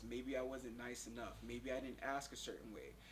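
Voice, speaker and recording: A man speaks at a fairly quick pace with an American accent. There is audible echo in the room. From US South, Pensacola, Florida. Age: 30s. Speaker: interviewee, kidney failure patient. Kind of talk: interview.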